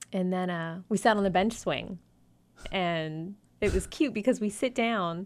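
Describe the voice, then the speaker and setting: A woman with an American accent speaks at a fairly slow pace and medium pitch, with ordinary pitch variation, in a very clean recording with a silent background. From South Florida (Davie). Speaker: podcast co-host. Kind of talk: casual chat. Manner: animated.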